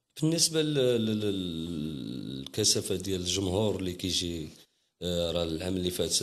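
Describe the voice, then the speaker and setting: A man with a very deep, low pitch and lively intonation, in audible room echo. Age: young. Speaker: Gnawa master musician. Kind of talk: interview. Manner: halting.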